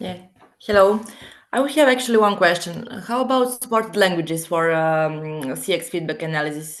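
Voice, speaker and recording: A woman with a Serbian accent, fairly low pitch and lively intonation, at a fairly quick pace in a room with audible echo. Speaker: webinar participant. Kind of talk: webinar Q&A. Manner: halting.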